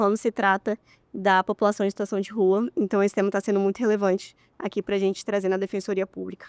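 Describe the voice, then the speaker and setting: A woman with a dark, mellow tone and medium pitch speaks fairly quickly, the sound dry and close with no echo on a very clean recording with a silent background. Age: 30s. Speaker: public defender. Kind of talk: podcast interview.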